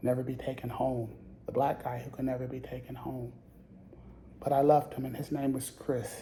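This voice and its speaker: A man speaks in a monotone, flat delivery with long, frequent pauses. Audible room echo surrounds his voice. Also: medium pitch for a man, moderate pace. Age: 60s. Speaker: support group facilitator. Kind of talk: group facilitation with personal testimony. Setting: in-person group circle.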